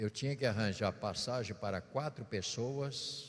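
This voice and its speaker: A man speaks softly against a quiet background. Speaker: bishop preacher. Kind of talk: sermon. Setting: church. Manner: speaking softly; playful tone.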